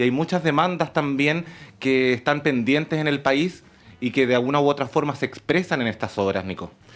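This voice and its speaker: Very clean audio with a silent background, a man's fairly high-pitched voice at moderate speed with ordinary pitch variation. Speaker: university academic and radio-drama producer. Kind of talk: radio interview answer. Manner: enthusiastic, talkative.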